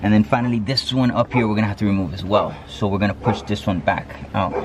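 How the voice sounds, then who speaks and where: Noticeable background noise sits under a man talking at a very fast pace. His voice is fairly low, with ordinary pitch variation. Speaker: hobby mechanic. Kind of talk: tutorial. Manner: occasional stutter today; casual, hesitant with fillers.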